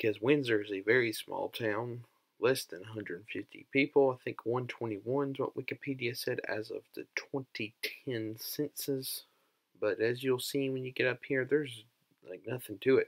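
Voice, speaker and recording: Speaking at a moderate pace, a man keeps his intonation fairly even while the background stays quiet. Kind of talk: casual commentary. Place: car. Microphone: camera far.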